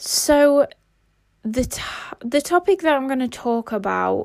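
A woman with a British accent talks with ordinary pitch variation on a very clean recording with a silent background. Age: 20s. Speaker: life and mindset coach. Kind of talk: casual monologue.

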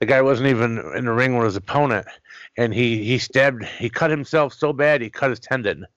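A man with a plain, everyday voice talks at medium pitch and a fairly quick pace. Pitch variation is ordinary, and the background is quiet. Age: 40s. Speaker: wrestling podcast host. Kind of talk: casual interview.

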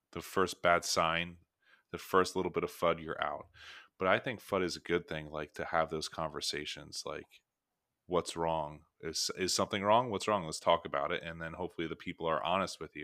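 A man speaks at a very deep, low pitch. His tone is bright and sharp. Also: fairly even intonation, moderate pace. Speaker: podcast host. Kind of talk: casual chat.

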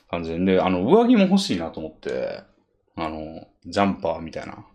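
This is a man speaking. He talks at a very fast pace. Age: 30s. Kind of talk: casual chat.

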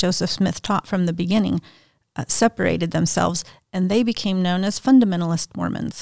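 A woman's ordinary speaking voice at medium pitch, fairly even in intonation, dry and close with no echo, on a very clean recording with a silent background. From Mexico and US (raised in a polygamist cult, moving around). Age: 50s. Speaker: author and speaker. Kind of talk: interview, personal life story. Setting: studio.

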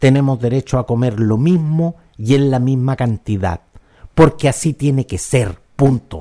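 At a fairly slow pace, a man with a Chilean accent speaks in a medium pitch and a dark, mellow tone. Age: 50s. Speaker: podcast host and commentator. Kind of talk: opinion monologue.

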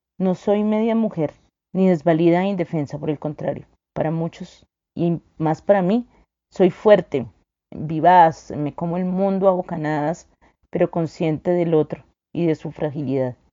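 At a fairly slow pace, a woman with an unremarkable speaking voice talks at a fairly low pitch with ordinary pitch variation. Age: 40s. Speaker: lawyer and women's rights advocate. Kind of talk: testimony.

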